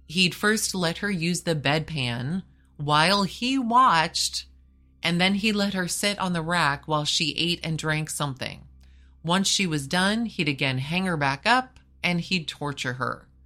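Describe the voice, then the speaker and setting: Music plays in the background as the speaker talks at a fairly slow pace in a serious tone with lively intonation. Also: woman, fairly low pitch for a woman. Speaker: podcast host. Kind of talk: true-crime narration. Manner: grave, measured storytelling delivery; serious, matter-of-fact tone.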